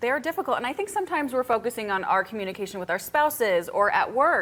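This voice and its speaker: Very fast, high-pitched speech from a woman, with very wide pitch swings and noticeable background noise. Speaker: TV lifestyle show host. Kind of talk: TV talk show host questions.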